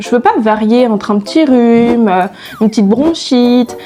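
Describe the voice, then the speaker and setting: A woman's fairly high voice varies in pitch in an ordinary way. Her moderate pace is accompanied by noticeable background noise. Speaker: YouTuber. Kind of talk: casual vlog. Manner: chatty, hesitant with fillers.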